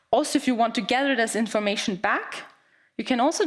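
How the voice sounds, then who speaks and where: A woman's fairly high voice at a very fast pace, with very wide pitch swings. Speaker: account manager giving a conference talk. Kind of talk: conference presentation. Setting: stage with audience. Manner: halting, with repetitions and fillers.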